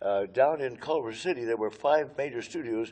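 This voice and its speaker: With an American accent, a man speaks in a dark, mellow tone with ordinary pitch variation. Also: quiet background. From Los Angeles, California. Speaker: retired musician and choir director. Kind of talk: oral history interview. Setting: historic train station. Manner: halting, frequent uh fillers.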